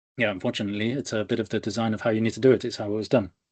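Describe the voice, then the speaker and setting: A man speaks with an English Midlands accent. The background is quiet. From England, Leicester. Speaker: data engineer, conference speaker. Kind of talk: technical presentation. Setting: video call. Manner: fast; energetic, animated.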